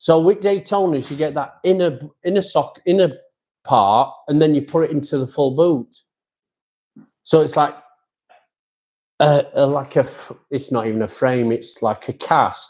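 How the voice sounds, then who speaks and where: Speaking in a Yorkshire accent, a man uses a dark, mellow tone at a fairly high pitch with ordinary pitch variation, a fairly slow pace and long, frequent pauses. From Yorkshire, England. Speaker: amateur motorcycle racer and podcast host. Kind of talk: casual chat. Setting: live stream.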